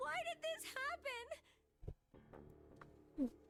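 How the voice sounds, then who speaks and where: In a put-on character voice, a female-sounding voice reaches an extremely high pitch. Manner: broken, grief-stricken.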